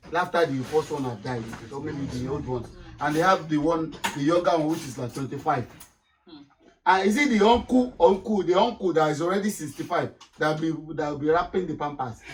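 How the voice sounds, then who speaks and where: With music in the background, a man with a Nigerian accent talks at a fairly quick pace. His pitch is fairly high and his intonation lively. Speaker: panel member. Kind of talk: casual chat. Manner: halting.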